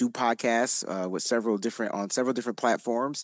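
A man speaks at a moderate pace with ordinary pitch variation. It is a plain, everyday voice against a quiet background. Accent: American. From Connecticut, New Haven. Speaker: football content creator and writer. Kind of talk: casual chat.

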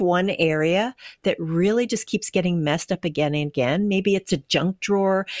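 A woman with a Canadian accent has a normal speaking voice, medium pitch and ordinary pitch variation at a moderate pace. The sound is dry and close with no echo, in a very clean recording with a silent background. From Canada, Winnipeg. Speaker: firefighter and art quilter. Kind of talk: interview.

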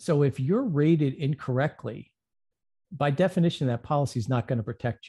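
Recorded dry and close with no echo against a quiet background, a man speaks fairly quickly in a somewhat breathy, dark, mellow voice at a fairly high pitch with ordinary pitch variation. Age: 50s. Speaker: insurance agent. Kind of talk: interview.

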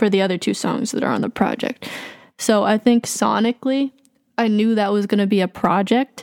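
Using an ordinary speaking voice, a woman with an American accent talks at a fairly quick pace and fairly high pitch, with fairly even intonation and a dry, close sound with no echo. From Massachusetts, Boston area. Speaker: hip-hop artist and producer. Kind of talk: casual interview.

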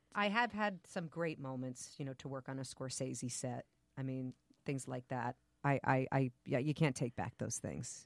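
The sound is dry and close with no echo. A woman with an American accent and a very deep, low pitch talks at a moderate pace with ordinary pitch variation. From New Jersey. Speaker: actor and yoga practitioner. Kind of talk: casual chat.

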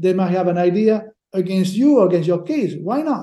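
The speaker moves at a fairly quick pace with lively intonation and a dark, mellow tone. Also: man. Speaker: sports lawyer. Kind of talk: casual interview chat. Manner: halting, hesitant.

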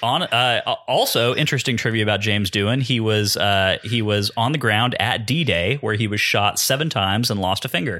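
At medium pitch, a man talks fairly quickly in a bright, sharp tone, with ordinary pitch variation, hardly any pauses and very even loudness. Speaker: podcast co-host and producer. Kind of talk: casual chat.

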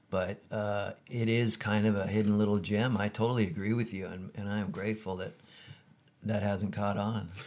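This man has a fairly low pitch and a Californian accent. He talks at a moderate pace with monotone, flat intonation. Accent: Californian American. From US West Coast (Camarillo, California). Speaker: surf photographer. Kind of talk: casual interview. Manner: halting, many fillers.

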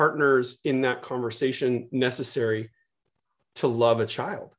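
Very clean, with a silent background, the recording features a man with a Californian accent. He speaks at a fairly slow pace and medium pitch. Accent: Californian American. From US West Coast, San Francisco Bay Area. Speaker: media executive and co-founder. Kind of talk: casual chat.

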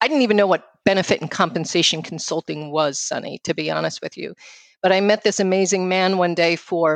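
A woman with a New York accent speaks at a moderate pace in a fairly low voice, her intonation fairly even, recorded dry and close with no echo against a quiet background. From New York City. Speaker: financial firm founder and speaker. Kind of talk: casual interview conversation.

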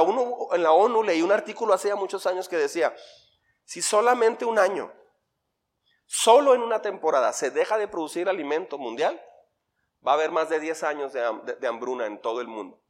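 Pitch swings very widely while the delivery keeps a moderate pace. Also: man. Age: 50s. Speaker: pastor. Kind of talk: sermon. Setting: church.

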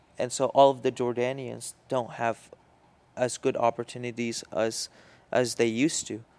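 A man with an Arabic accent, medium in pitch, at a moderate pace, in a monotone, flat intonation. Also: dry, close sound with no echo. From Syria. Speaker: podcast co-host. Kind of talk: casual chat. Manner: halting.

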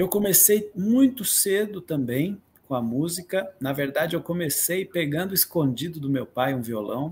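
A man's somewhat breathy voice has lively intonation and moves at a fairly slow pace. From Atibaia, São Paulo state, Brazil. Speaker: musician and composer. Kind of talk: interview.

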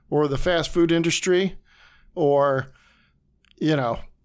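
A man's fairly high voice with fairly even intonation, on a very clean recording with a silent background. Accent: Ohio. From northeast Ohio, Warren. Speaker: comic book store owner. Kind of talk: casual interview. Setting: studio.

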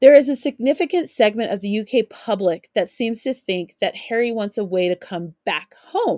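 The sound is dry and close, with no echo. Speaking with an American accent, the voice has lively intonation and hardly any pauses. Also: woman, fairly high pitch for a woman, moderate pace. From US West, Colorado. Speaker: podcast host. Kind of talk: solo commentary podcast.

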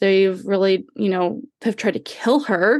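An unremarkable speaking voice from a woman, medium in pitch, at a moderate pace against a quiet background. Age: 30s. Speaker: podcaster. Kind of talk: casual chat. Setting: video call.

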